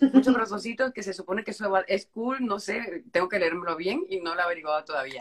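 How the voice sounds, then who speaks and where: The delivery is very fast, with hardly any pauses. The intonation is lively. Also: woman, medium pitch for a woman. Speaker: live stream host. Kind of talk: casual live stream interview.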